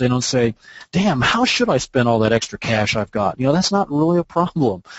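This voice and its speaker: A man's voice sits at medium pitch and keeps a fairly quick pace. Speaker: SEO expert. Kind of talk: webinar presentation. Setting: online webinar. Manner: fast.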